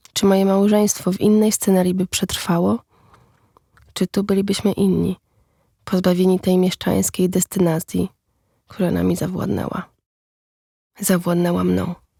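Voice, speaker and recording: At a moderate pace, a woman with a medium pitch and a dark, mellow, somewhat breathy tone speaks in a flat monotone with long, frequent pauses, the sound dry and close with no echo. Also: very even loudness. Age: 30s. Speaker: podcast narrator, writer. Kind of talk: scripted narration.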